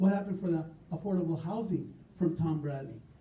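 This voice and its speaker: A fairly quick, high-pitched male voice with an American accent, ordinary pitch variation and audible room echo. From US West. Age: 70s. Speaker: political candidate. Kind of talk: campaign speech.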